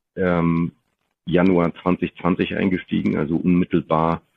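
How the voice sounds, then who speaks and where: A very slow pace and monotone, flat intonation. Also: man. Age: 40s. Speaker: business executive. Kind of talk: interview. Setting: video podcast recording.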